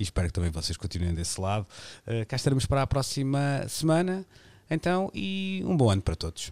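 In a dry, close sound with no echo, a man speaks at a fairly quick pace and medium pitch, with very wide pitch swings. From Portugal, Porto. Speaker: radio host. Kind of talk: radio panel discussion. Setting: remote, each from home.

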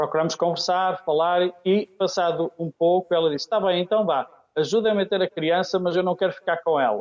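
A man speaks at a high pitch and a moderate pace. The sound is dry and close, with no echo. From Oliveira de Azeméis, Aveiro district, Portugal. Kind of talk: radio interview. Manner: halting.

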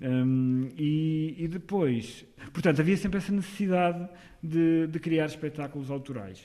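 A man's fairly high voice with ordinary pitch variation and a dark, mellow tone. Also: fairly slow pace. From northern Portugal, Porto/Amarante. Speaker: actor and theatre director. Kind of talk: radio interview.

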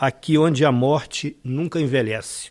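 A man's fairly high voice, with ordinary pitch variation and a fairly slow pace. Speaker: poet. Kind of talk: poetry reading aloud.

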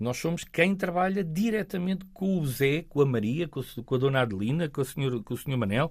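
With lively intonation, a man uses a normal speaking voice at a moderate pace. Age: 40s. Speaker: local politician. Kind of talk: interview.

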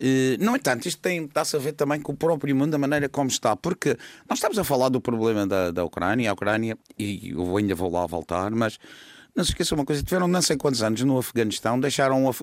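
The pace is very fast, with very wide pitch swings and very even loudness. The recording is very clean, with a silent background and a dry, close sound with no echo. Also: man, medium pitch for a man. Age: 60s. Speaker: political commentator. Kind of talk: political discussion.

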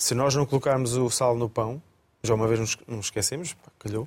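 The man's pitch is medium, with ordinary variation. He talks at a moderate pace. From Coimbra, Portugal. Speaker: chef. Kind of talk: casual chat. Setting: studio.

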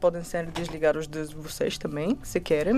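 A woman with a Bulgarian accent, music in the background. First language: Bulgarian (speaking Portuguese). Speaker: startup founder. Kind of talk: interview. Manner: halting.

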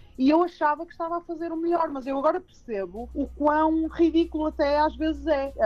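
Against music in the background, a woman speaks at a moderate pace with a high pitch. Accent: Porto. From Porto, northern Portugal. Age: 30s. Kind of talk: radio interview. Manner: hesitant with frequent fillers and repetitions.

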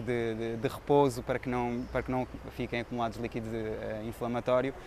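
Fairly quickly, a man speaks in a monotone, flat intonation. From Portugal. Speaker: veterinarian and photographer. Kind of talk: interview.

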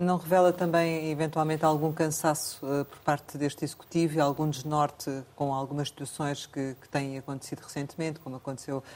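A female voice is heard. Her intonation changes only a little and stays fairly even. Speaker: radio journalist. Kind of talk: radio interview.

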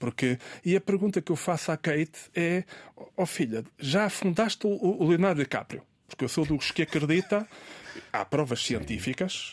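On a very clean recording with a silent background and a dry, close sound with no echo, a man with a high pitch uses lively intonation at a moderate pace. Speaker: writer and professor. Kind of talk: casual chat. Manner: halting.

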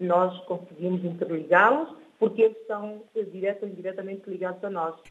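A woman's medium-pitched voice keeps a fairly even intonation and moves at a moderate pace. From São Tomé and Príncipe. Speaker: author. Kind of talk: radio interview. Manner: hesitant, repeats words.

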